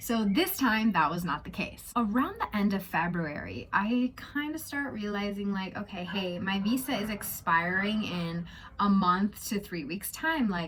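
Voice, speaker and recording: Noticeable background noise sits behind a voice with an American accent, lively intonation and a fairly slow pace. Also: woman, medium pitch for a woman. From United States. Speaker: travel vlogger. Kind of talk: casual vlog storytime. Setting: at home in a house. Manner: chatty, informal.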